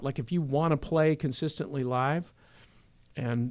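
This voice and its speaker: Recorded very cleanly against a silent background, a man with an American accent speaks at a fairly slow pace and fairly high pitch, with ordinary pitch variation. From California East Bay. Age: 60s. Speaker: rock musician. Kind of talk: podcast interview.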